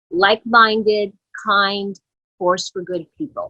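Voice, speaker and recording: A woman speaks fairly slowly at a fairly high pitch, her tone bright and sharp. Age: 60s. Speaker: company co-founder. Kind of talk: motivational address to business network. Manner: warm, informal with hesitations.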